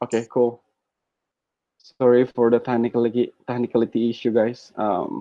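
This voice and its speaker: Flat, monotone intonation in an Indonesian accent comes with long, frequent pauses. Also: man, medium pitch for a man. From Indonesia, North Sumatra. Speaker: guest speaker. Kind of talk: webinar presentation. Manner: fast.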